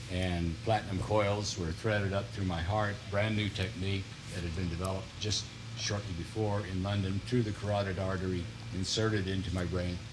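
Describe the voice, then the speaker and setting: Against noticeable background noise and audible room echo, a man with an American accent speaks fairly quickly at a fairly low pitch, his intonation fairly even. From US Midwest (northern Missouri Ozarks). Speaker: retired politician and author. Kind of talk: TV interview.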